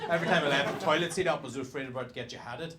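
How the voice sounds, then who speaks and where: Someone talks at a very fast pace in a Northern Irish accent. Audible room echo and noticeable background noise fill the recording. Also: man. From Northern Ireland. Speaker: stand-up comedian. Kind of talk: stand-up.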